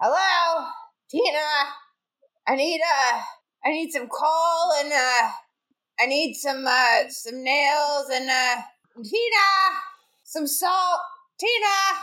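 A female-sounding voice uses a put-on character voice pitched high for a woman. She speaks at a very slow pace, with long, frequent pauses. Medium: actual play. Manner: fussy, old-fashioned, slyly creepy.

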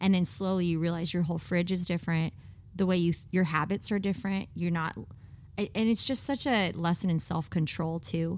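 Fairly low in pitch, a woman speaks in a plain, everyday voice at a fairly quick pace with very even loudness. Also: ordinary pitch variation. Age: 30s. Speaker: pastor. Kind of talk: casual chat.

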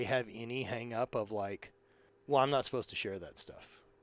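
Over a silent background in a very clean recording, a man talks at a fairly quick pace and a medium pitch. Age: 30s. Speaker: entrepreneur and apparel company owner. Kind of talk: casual chat.

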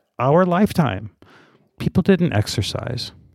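A man's plain, everyday voice at a fairly slow pace with lively intonation, in a very clean recording with a silent background and a dry, close sound with no echo. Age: 50s. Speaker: marketing content creator. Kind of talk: casual chat.

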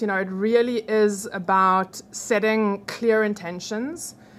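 A woman with a fairly high pitch and a non-native accent speaks at a fairly slow pace, her intonation fairly even. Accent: noticeable foreign. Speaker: hypnotherapist. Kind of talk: casual interview. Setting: studio.

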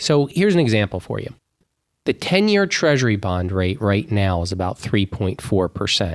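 A man's unremarkable speaking voice, fairly low in pitch, with lively intonation at a moderate pace in a very clean recording with a silent background. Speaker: financial advisor. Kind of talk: casual chat.

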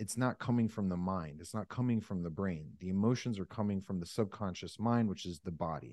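Very deep, low-pitched man with an American accent, fairly quick with hardly any pauses, ordinary pitch variation, quiet background. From US, Northeast Pennsylvania. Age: 30s. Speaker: sales coach and cancer survivor. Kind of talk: podcast interview.

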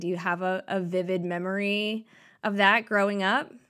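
In a very clean recording with a silent background, a woman with a plain, everyday voice talks at a fairly slow pace and a medium pitch. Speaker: theater company podcast host. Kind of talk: casual interview chat.

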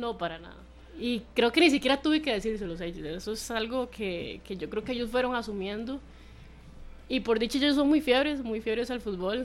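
In an ordinary speaking voice, a woman talks at a moderate pace with fairly high pitch, lively intonation and big swings in loudness. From Costa Rica, San Carlos. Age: 20s. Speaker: footballer. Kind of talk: radio interview.

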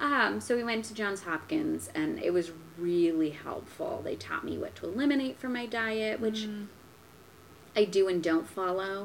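Using a plain, everyday voice, a woman speaks at a moderate pace and medium pitch with lively intonation. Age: 20s. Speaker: guest with autoimmune illness. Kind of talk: casual chat.

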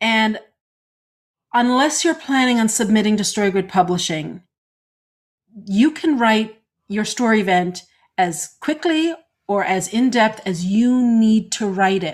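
On a very clean recording with a silent background, a woman with a fairly high, somewhat breathy voice and lively intonation talks fairly slowly, leaving long, frequent pauses. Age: 50s. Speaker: podcast co-host and story editor. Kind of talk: casual chat.

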